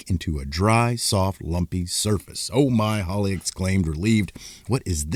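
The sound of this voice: An unforced reading voice is heard. It has ordinary pitch variation.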